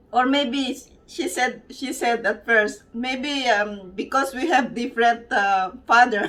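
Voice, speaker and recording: A woman with a high voice speaks in a Filipino accent, at a very slow pace and with ordinary pitch variation. There is noticeable background noise. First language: Tagalog. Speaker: vlogger. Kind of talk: casual vlog chat. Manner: halting.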